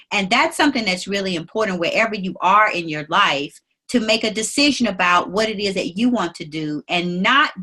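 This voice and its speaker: With a bright, sharp tone, a woman speaks using lively intonation. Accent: Mississippi. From US South, Mississippi Delta. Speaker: attorney and business leader. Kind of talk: interview.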